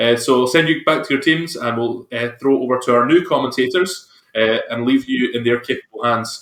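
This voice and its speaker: A man with a Scottish accent speaks at a fairly quick pace and medium pitch, with ordinary pitch variation and hardly any pauses. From Scotland. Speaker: esports stream host. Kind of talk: casual chat.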